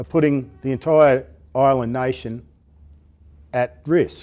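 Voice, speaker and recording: In an Australian accent, a man speaks very slowly at a medium pitch with a dark, mellow tone and ordinary pitch variation, on a very clean recording with a silent background. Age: 60s. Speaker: unemployed seafarer. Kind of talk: testimony.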